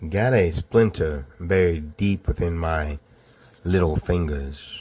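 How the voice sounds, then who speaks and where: In a Southern US accent, a man speaks with a very deep, low pitch and fairly even intonation. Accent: confusing Southern. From US South, Georgia. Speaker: storyteller. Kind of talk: personal true story narration. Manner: casual, conversational.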